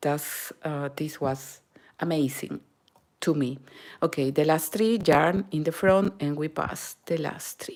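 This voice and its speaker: In a Peruvian accent, a woman speaks at a very slow pace with a very deep, low pitch and ordinary pitch variation. The recording is very clean, with a silent background. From Peru, Lima. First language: Spanish. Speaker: knitting and crochet instructor. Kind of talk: live-stream tutorial. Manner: halting, with fillers and Spanish code-switching.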